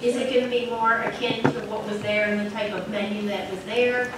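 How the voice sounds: Over audible room echo, a woman with a medium-pitched voice speaks at a moderate pace with fairly even intonation.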